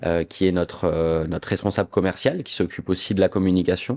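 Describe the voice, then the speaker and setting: This man's very deep, low voice moves at a fairly quick pace. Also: quiet background. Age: 20s. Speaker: château co-manager, former bartender. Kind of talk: podcast interview. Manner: hesitant, many filler sounds.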